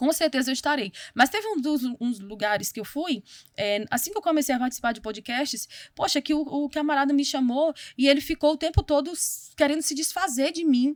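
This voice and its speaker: A woman speaks at a fairly quick pace with a high pitch. Her intonation is lively, and the sound is dry and close with no echo. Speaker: missionary, preacher and theologian. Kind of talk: interview conversation. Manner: fast.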